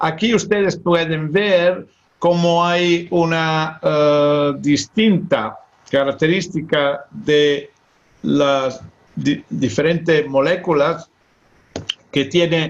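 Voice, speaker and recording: Speaking very slowly with a non-native accent, a man keeps his fairly high-pitched voice at a very even loudness. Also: ordinary pitch variation. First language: Italian (speaking Spanish). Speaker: nephrology professor. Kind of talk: lecture. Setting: online webinar. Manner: halting.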